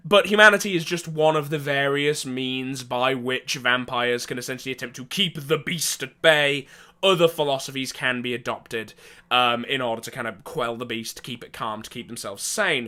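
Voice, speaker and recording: With an English accent, a man speaks at a moderate pace in a bright, sharp tone, showing ordinary pitch variation and big swings in loudness. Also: medium pitch for a man, very clean recording, silent background. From England. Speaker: tabletop gaming storyteller. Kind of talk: casual storytelling monologue. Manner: hesitant, many fillers.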